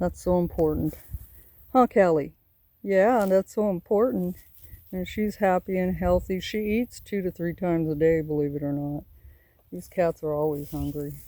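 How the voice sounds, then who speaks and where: A woman talks in a Southern US accent at a moderate pace, with long, frequent pauses. Her fairly low voice has a dark, mellow tone and ordinary pitch variation. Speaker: homesteading vlogger. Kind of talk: casual vlog. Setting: outdoors. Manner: rambling, halting.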